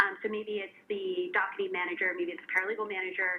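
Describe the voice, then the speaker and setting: A woman speaks at a fairly quick pace with medium pitch and ordinary pitch variation over noticeable background noise. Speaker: legal tech executive and panelist. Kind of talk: panel discussion.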